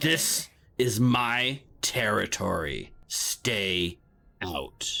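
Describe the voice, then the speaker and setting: Putting on a raspy character voice, a man speaks at medium pitch and a very slow pace. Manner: gruff, warning.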